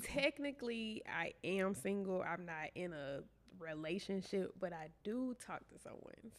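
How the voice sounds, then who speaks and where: With a Southern US accent, a woman speaks at a fairly slow pace and with lively intonation. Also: medium pitch for a woman, big swings in loudness. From Shreveport, Louisiana. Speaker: entrepreneur, event planner. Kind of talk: interview answer.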